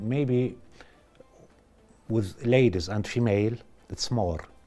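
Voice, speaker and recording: Ordinary rises and falls in a male voice, with music playing behind. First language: Russian, French and Arabic. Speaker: vascular surgeon. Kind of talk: TV interview. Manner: halting, many fillers.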